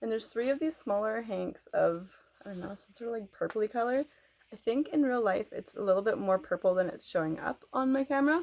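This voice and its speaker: With a western Canadian accent, a woman talks at a fairly quick pace in a fairly high pitch, her intonation lively and her loudness swinging widely. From Canada. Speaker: knitting podcaster. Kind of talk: casual vlog chat. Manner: fast.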